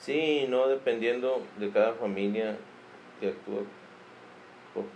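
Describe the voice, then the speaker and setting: The man's delivery is fairly slow. His speech is broken by long, frequent pauses. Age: 40s. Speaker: parent. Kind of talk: interview. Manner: brief, halting answers.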